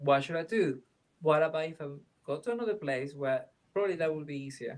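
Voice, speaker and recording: In a Venezuelan accent, a man talks at a very fast pace, his fairly high voice showing ordinary pitch variation. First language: Spanish. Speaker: film director. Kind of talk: interview. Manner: halting, with many fillers and restarts.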